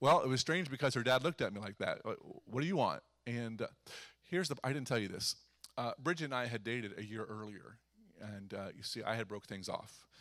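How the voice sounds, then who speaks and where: On a very clean recording with a silent background, a man with an American accent uses a normal speaking voice at medium pitch, talking at a fairly quick pace with lively intonation. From US Midwest, eastern Ohio. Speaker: pastor. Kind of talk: sermon. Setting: church.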